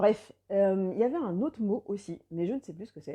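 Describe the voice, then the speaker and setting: A woman's dark, mellow tone carries lively intonation over a quiet background. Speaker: life coach. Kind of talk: live video chat with viewers. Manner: fast.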